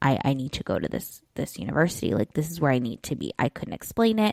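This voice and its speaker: A woman with a Southern Californian accent speaks at a very deep, low pitch. The recording is very clean and dry, close with no echo and a silent background. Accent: Valley girl. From US West Coast, San Diego, California. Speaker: life coach and podcast host. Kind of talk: solo podcast monologue. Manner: casual, filler-heavy (like, you know).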